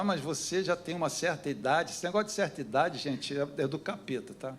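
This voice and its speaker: A man with a fairly high-pitched voice speaks with lively intonation, and the room echo is audible. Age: 70s. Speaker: pastor. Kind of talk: sermon. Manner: animated.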